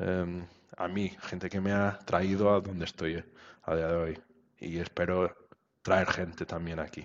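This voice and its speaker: Pausing long and often, a man speaks at a fairly slow pace in a very deep, low voice with monotone, flat intonation. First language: Portuguese (speaking Spanish). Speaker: web developer. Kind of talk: interview. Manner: halting.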